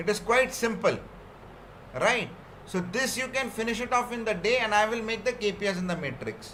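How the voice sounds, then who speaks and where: A man with a high pitch uses a raised, projected voice at a fairly quick pace, with long, frequent pauses, audible room echo and noticeable background noise. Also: ordinary pitch variation. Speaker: software trainer. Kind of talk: technical training session.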